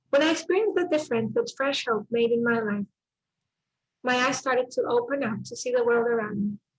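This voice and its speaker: With a Spanish accent, a woman speaks at a fairly quick pace. Her high pitch shows ordinary variation. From El Salvador. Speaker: speaker at a church mental health summit. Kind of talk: testimony and presentation.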